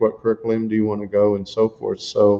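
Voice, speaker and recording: The man speaks at a fairly quick pace. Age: 60s. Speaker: retired airline executive. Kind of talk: interview. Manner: halting, many repetitions.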